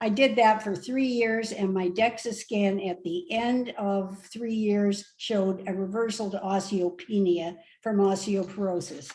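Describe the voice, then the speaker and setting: The voice has a dark, mellow, somewhat breathy tone and moves at a fairly slow pace with fairly even intonation and hardly any pauses. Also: woman, medium pitch for a woman. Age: 70s. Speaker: retired nurse, plant-based diet advocate. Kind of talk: casual interview. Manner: hesitant, many fillers.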